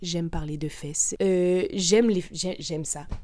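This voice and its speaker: A woman with a medium pitch sounds animated, her intonation lively. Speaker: podcaster. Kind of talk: casual monologue. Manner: loud.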